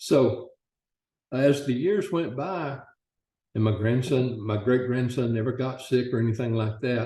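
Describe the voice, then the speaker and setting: Somewhat breathy with a dark, mellow tone, the voice moves at a fairly slow pace with ordinary pitch variation. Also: man. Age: 70s. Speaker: customer testimonial. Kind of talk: testimony.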